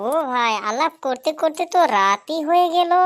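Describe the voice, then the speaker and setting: A woman performs a cartoonish character voice at a high pitch and moderate pace. Her pitch swings very widely. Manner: warm, chatty.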